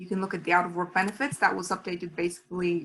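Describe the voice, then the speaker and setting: The voice sounds somewhat breathy. It belongs to a woman. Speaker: webinar presenter. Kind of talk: webinar tutorial. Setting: online webinar. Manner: fast.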